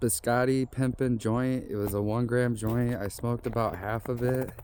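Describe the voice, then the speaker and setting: A man speaks in a dark, mellow tone. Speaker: vlogger. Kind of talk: casual vlog monologue. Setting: outdoors on walking trail. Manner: rambling, halting.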